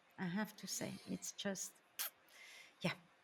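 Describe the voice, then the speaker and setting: A woman with a non-native accent speaks at a fairly slow pace. The recording is very clean with a silent background. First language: not English. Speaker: spiritual medium. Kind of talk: interview podcast.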